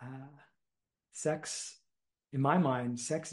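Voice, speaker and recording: A somewhat breathy man with an American accent, medium pitch and a very slow pace, over a quiet background. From US Northeast, Philadelphia suburbs; Pennsylvania. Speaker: meditation teacher and community builder; meditation teacher. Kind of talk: casual chat. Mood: relaxed, reflective. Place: home room. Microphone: video call.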